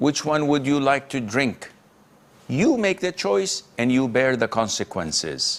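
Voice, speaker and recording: Speaking at a fairly slow pace, a man with a medium pitch and a normal speaking voice uses lively intonation while keeping his loudness very even. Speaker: Islamic scholar answering questions. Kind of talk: Islamic lecture Q&A answer, live broadcast. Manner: firm, stern, rebuking.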